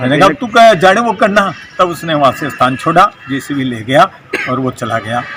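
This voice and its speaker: Noticeable background noise sits under a voice whose pitch rises and falls very widely. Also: man, fairly high pitch for a man. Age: 60s. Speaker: local political leader. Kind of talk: press statement.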